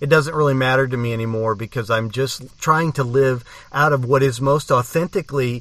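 A man speaks in an ordinary speaking voice at medium pitch and a moderate pace, with fairly even intonation. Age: 50s. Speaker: podcast host. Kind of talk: podcast outro; casual chat.

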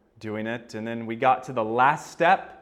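He speaks with an American accent at medium pitch for a man. His intonation is fairly even, and audible room echo surrounds the voice. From United States. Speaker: pastor. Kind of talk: sermon.

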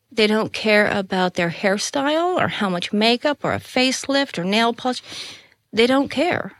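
A woman's fairly high, normal speaking voice with an American accent, lively intonation and moderate pace, in a very clean recording with a silent background. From Colorado, US. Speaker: spiritual teacher. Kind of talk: casual chat.

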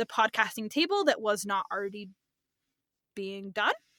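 A woman speaks in a raised, projected voice with a bright, sharp tone and lively intonation, recorded dry and close with no echo, very clean, against a silent background. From California. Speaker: podcast host, student teacher. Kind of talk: casual chat.

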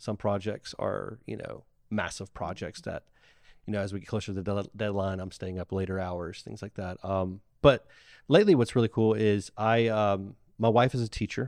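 A man with a Southern US accent speaks at a moderate pace in a fairly low pitch, his intonation fairly even. His loudness swings widely, and the recording is very clean with a silent background. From Mississippi Gulf Coast, Ocean Springs. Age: 30s. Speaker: marketing agency owner. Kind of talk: casual chat.

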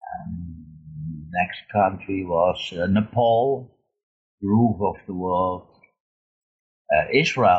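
A somewhat breathy man with a very deep, low pitch, ordinary pitch variation and a Dutch accent. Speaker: long-distance motorcyclist and author. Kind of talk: interview. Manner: halting.

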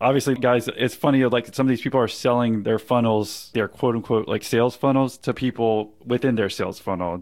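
Fairly quick, with hardly any pauses, a man of medium pitch talks in an unremarkable speaking voice, his intonation fairly even and loudness very even, on a very clean recording against a silent background. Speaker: podcast interviewer. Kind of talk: casual interview.

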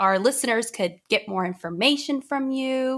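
With an unremarkable speaking voice, a woman talks at a moderate pace and with lively intonation on a very clean recording with a silent background. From raised in US after early childhood in Haiti. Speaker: podcast host. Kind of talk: interview.

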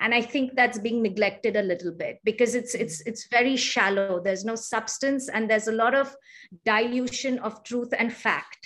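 Speaking at a moderate pace with an Indian accent, a woman keeps a fairly high pitch and fairly even intonation. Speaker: yoga teacher. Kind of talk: interview conversation. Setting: remote call from India.

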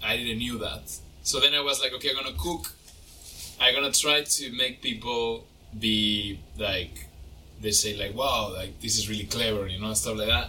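With a Spanish accent, a man speaks at a moderate pace and medium pitch with ordinary pitch variation over noticeable background noise. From Mexico. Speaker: chef. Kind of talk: casual interview.

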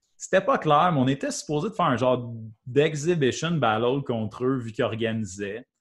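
Over a quiet background, a man speaks at a medium pitch with lively intonation and a somewhat breathy voice. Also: moderate pace. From Quebec, Valcourt (Eastern Townships). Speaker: breakdancer. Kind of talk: casual chat.

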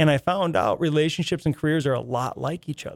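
A man talks at a very fast pace. The sound is dry and close with no echo on a very clean recording with a silent background. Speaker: sales manager. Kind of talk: casual interview chat. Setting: studio. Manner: animated, enthusiastic.

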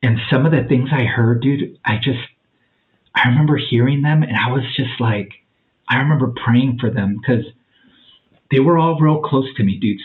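A man with an ordinary speaking voice, medium in pitch, at a moderate pace with ordinary pitch variation. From Mexican-American family, US. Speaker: podcast guest sharing plant medicine experiences. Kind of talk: casual interview, personal testimony.

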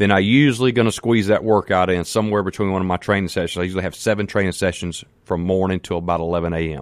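A man with a Mississippi accent talks at a very fast pace in a fairly low pitch with ordinary pitch variation and an animated tone, the sound dry and close with no echo on a very clean recording with a silent background. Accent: Southern US (Mississippi). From US South, Mississippi. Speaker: fitness trainer. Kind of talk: radio interview, fitness advice. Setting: studio.

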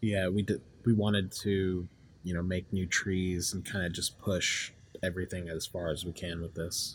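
With a very deep, low pitch, a man speaks in a flat monotone that sounds somewhat breathy. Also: moderate pace. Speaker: game designer, 3D artist. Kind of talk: interview.

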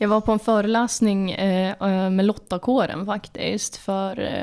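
With fairly even intonation and a medium pitch, a woman is heard in a very clean recording with a silent background. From Jämtland, Sweden. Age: 20s. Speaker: podcast host, political editor. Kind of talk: casual interview chat.

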